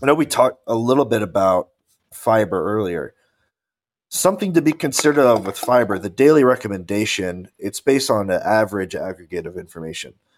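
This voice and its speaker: A plain, everyday voice, this man talks at a fairly quick pace with medium pitch and lively intonation on a very clean recording with a silent background. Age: 20s. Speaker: podcast co-host, bodybuilder. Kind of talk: casual chat.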